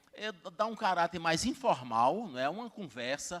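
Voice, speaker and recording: Lively intonation from a man at a moderate pace. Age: 60s. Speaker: university rector and professor. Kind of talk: conference talk. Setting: stage with audience. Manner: halting, many fillers.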